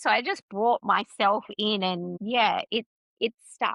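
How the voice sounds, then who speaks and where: The delivery is energetic and fairly slow, in an Australian accent. The sound is dry and close, with no echo. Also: woman. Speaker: business mentor. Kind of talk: casual interview chat. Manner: loud, energetic.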